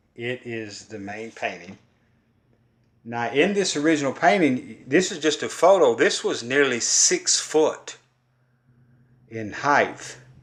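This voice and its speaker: A man in a Kentucky accent at a fairly high pitch, very slow pace, lively intonation, big swings in loudness and long, frequent pauses. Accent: Kentucky Southern. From Kentucky, US South. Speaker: folk artist and poet. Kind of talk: casual art talk.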